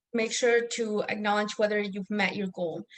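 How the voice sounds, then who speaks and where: This is a woman with a non-native accent. Her pitch is fairly high. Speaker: academic coach. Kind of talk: online workshop presentation. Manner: hesitant, many fillers.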